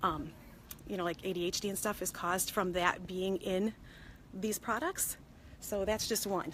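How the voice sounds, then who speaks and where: A woman speaks at medium pitch and a moderate pace. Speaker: consumer product safety vlogger. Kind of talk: casual live vlog from a store. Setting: in a store. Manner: hushed, partly whispering; hesitant, many fillers.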